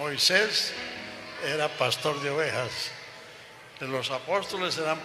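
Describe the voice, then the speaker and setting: A man speaks at a very slow pace in a fairly high pitch, with noticeable background noise and audible room echo. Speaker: elderly pastor and missionary. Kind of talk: onstage interview.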